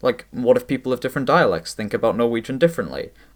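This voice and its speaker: A man speaks at a medium pitch with a Swedish accent. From Sweden. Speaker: language YouTuber. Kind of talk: scripted narration.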